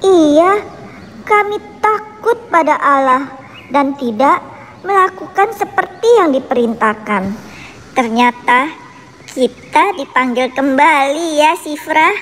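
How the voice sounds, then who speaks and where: A woman performs a cartoonish character voice, high-pitched with very wide pitch swings and very even loudness, against clear background noise. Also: fairly slow pace. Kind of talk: Sunday school children's story.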